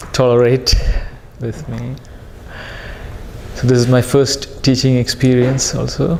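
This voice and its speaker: The speech comes at a fairly slow pace with long, frequent pauses. Audible room echo and noticeable background noise fill the recording. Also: man. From India. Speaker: priest and language teacher. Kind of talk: lecture. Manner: halting.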